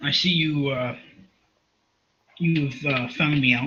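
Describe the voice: Putting on a raspy character voice, a man speaks fairly high and fairly slowly with fairly even intonation.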